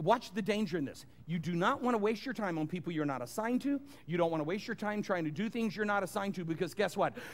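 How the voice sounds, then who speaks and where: Very fast and high-pitched, a man talks in an animated tone with lively intonation. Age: 60s. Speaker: pastor. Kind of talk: sermon.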